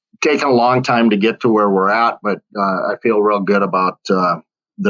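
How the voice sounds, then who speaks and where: This man has a fairly low pitch and fairly even intonation. He keeps a moderate pace at a very even loudness. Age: 60s. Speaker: financial advisor. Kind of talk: interview. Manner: halting, many fillers.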